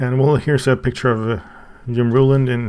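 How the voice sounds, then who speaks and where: A man with a Swedish accent and a medium-pitched voice. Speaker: YouTuber reviewing a book. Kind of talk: casual unboxing and review. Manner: halting, with many fillers and restarts.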